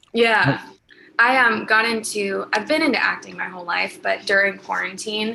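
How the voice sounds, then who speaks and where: A woman talks at a moderate pace, with noticeable background noise running throughout. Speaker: singer-songwriter. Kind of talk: interview.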